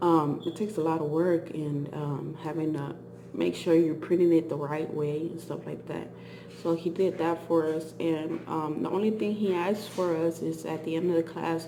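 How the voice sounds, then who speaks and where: A woman with a fairly low pitch speaks at a moderate pace in a monotone, flat way. Noticeable background noise and audible room echo fill the recording. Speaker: vlogger. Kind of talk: casual chat. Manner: halting.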